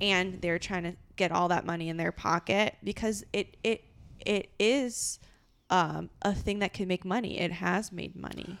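In a very clean recording with a silent background, a woman with an American accent speaks at medium pitch and a fairly slow pace, with vocal fry and fairly even intonation. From Los Angeles. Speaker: improviser and podcast co-host. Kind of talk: casual chat. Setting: at home.

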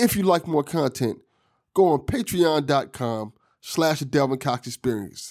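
A man uses a plain, everyday voice, pitched fairly high, with lively intonation. The very clean recording has a silent background and a dry, close sound with no echo. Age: 40s. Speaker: podcast host. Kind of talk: casual chat; scripted outro.

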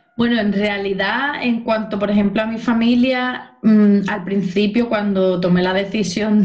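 With noticeable background noise behind her, a woman speaks at a fairly slow pace and a fairly high pitch. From Spain, Cádiz (Andalusia). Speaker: dance teacher, former social worker. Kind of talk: interview.

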